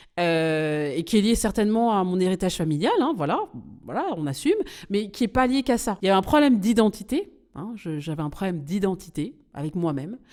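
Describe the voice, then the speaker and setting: A woman with a medium-pitched voice moves through very wide pitch swings at a fairly quick pace on a very clean recording with a silent background. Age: 40s. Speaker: podcast host and business coach. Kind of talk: casual podcast monologue. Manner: halting, many fillers.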